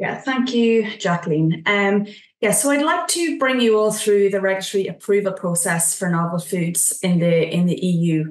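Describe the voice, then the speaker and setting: There are hardly any pauses as a woman speaks at a medium pitch. Audible room echo is present against a quiet background. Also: moderate pace. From Ireland. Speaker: nutrition scientist, regulatory consultant. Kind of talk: webinar presentation. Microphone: video call.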